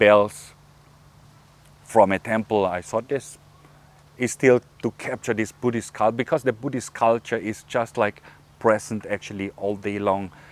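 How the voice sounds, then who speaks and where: With a German accent, a man speaks in a fairly low pitch and fairly even intonation, leaving long, frequent pauses, in a dry, close sound with no echo. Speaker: YouTuber. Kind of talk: casual behind-the-scenes talk to camera. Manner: halting, many fillers and repeated words.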